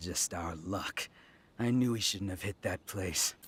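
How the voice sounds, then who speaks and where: Growling in a put-on character voice, a man speaks fairly slowly at a very deep, low pitch. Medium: video game. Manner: boastful, cocky.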